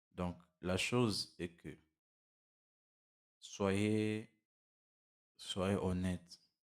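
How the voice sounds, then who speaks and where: The man talks at a very slow pace, his fairly low pitch monotone and flat, with long, frequent pauses. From DR Congo. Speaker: motivational YouTuber. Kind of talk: motivational monologue. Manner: halting, with many repetitions and fillers.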